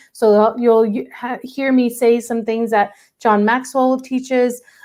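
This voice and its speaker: An ordinary speaking voice from a woman with an American accent and a fairly high pitch. She keeps a moderate pace with ordinary pitch variation. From US South, Arkansas. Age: 40s. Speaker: life coach. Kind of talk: online workshop presentation.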